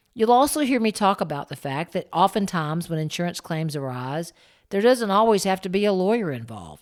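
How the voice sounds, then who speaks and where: A woman with an American accent talks at a fairly quick pace in an ordinary speaking voice. The recording is very clean, with a silent background. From Florida, Plant City. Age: 60s. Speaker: podcast host, insurance expert. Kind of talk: presentation; podcast intro. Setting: stage with audience. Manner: conversational.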